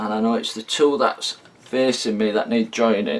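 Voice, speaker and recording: A man's medium-pitched voice stays fairly even in intonation, with noticeable background noise behind it. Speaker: hobbyist video maker. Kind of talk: tutorial. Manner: slow, deliberate.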